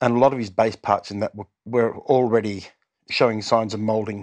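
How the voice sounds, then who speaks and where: Against a quiet background, a man with an Australian accent speaks in a monotone, flat intonation. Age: 60s. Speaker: musician in a cover band. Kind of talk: casual chat. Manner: halting.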